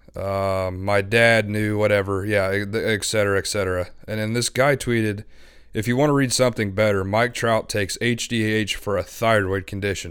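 A man speaks in a fairly low pitch at a moderate pace. His intonation stays monotone and flat. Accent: American. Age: 20s. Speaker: sports podcast co-host. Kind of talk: casual sports talk. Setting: remote call over Skype.

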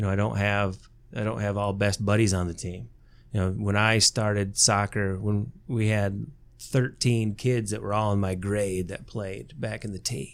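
On a very clean recording with a silent background, a man speaks at a moderate pace with a fairly low pitch and fairly even intonation. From southern Michigan, Lenawee County. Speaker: high school soccer coach and math teacher. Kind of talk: casual interview chat.

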